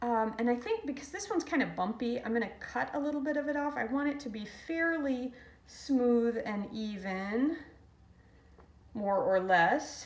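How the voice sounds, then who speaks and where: The speaker uses lively intonation at a fairly slow pace, with audible room echo around the voice. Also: woman. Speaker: ceramics instructor. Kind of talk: tutorial. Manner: halting.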